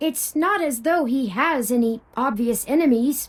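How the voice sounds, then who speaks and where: Moderate pace in a female-sounding, high-pitched, put-on character voice. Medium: video game. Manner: polite, precise, statistical phrasing.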